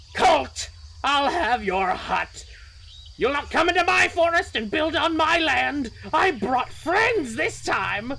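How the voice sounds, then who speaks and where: Over clear background noise, a put-on character voice speaks fairly slowly, high-pitched and shrill. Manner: threatening.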